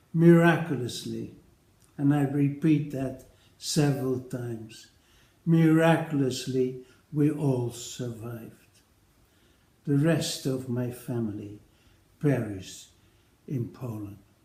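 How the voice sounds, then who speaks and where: Speaking at a very slow pace with long, frequent pauses, a man with a medium pitch uses ordinary pitch variation in a room with audible echo. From Netherlands. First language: Dutch. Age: 80s+. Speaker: retired paediatric nephrologist. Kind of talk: recorded personal address to colleagues. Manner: formal.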